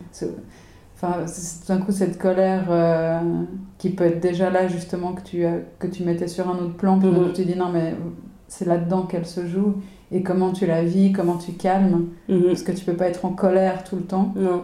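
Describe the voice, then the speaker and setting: Monotone, flat delivery from a woman at medium pitch, dark, mellow in tone, moderate pace, with audible room echo. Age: 40s. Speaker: podcast co-host. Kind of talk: casual chat. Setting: home kitchen.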